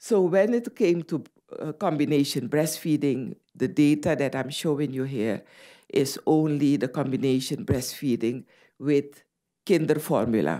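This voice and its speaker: A woman with a Dutch Caribbean accent speaks at a fairly slow pace in a very deep, low pitch with a dark, mellow tone. Her intonation is lively, and the recording is very clean with a silent background. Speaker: medical doctor and public health official. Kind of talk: conference talk.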